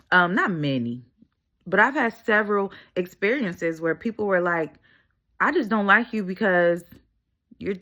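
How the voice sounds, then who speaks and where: Against a quiet background, a woman speaks loudly and fairly quickly, with a bright, sharp tone and lively intonation. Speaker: motivational video creator. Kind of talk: motivational monologue. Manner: talkative.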